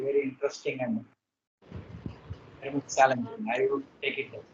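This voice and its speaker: The voice belongs to a man. He has a Tamil accent. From India, Hyderabad. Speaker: poet. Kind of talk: interview. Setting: video call. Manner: halting.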